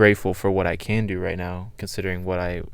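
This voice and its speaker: At a moderate pace, a man speaks with a very deep, low pitch amid audible room echo. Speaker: podcast guest, college student. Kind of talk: casual chat.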